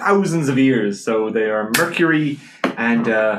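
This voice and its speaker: A man with a Dublin accent talks at medium pitch with lively intonation. Audible room echo surrounds his voice. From Ireland, Dublin north side. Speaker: PhD student. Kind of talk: casual chat. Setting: studio.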